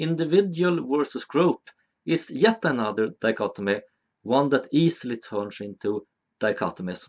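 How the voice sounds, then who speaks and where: A man with a Swedish accent talks at a moderate pace, his pitch swinging very widely. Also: medium pitch for a man. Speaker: video essayist. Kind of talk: educational monologue.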